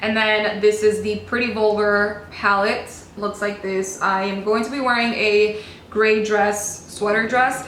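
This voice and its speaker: With audible room echo and noticeable background noise, a woman speaks fairly slowly in a fairly high, monotone, flat voice. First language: Spanish. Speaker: beauty vlogger. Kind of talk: casual chat. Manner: chatty, casual.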